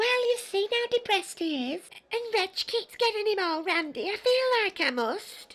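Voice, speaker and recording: Putting on a character voice at an extremely high pitch, a man talks at a moderate pace. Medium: fan dub. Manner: sheepish, crude.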